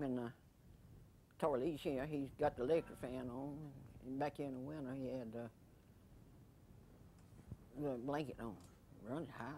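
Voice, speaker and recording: Speech at a moderate pace comes with long, frequent pauses over light background noise. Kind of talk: casual conversation. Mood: joking, relaxed. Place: home room.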